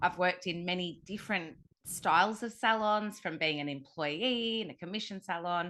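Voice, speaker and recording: Bright and sharp in tone, a woman speaks with an Australian accent. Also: quiet background. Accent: Australian, slow drawl. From Australia (Sydney). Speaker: hair colour educator. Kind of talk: interview podcast.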